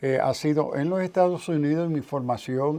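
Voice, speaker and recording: This man talks at a moderate pace, his fairly high voice showing ordinary pitch variation. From New York (South Bronx), Puerto Rican parents. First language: English (speaking Spanish). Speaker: theologian and professor. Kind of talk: interview.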